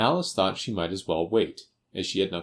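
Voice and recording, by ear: The setting is quiet. Someone is reading aloud in a natural voice, with ordinary pitch variation.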